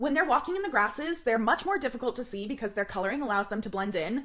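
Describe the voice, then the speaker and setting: Loud and animated, a woman with a fairly high pitch makes very wide pitch swings over noticeable background noise. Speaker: travel vlogger. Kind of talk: scripted narration.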